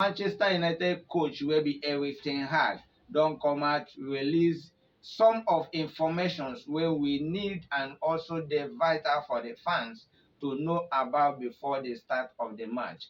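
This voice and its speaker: A man with a normal speaking voice talks at a fairly slow pace, his pitch fairly high with ordinary pitch variation. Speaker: football news presenter. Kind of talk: football news commentary in Nigerian Pidgin.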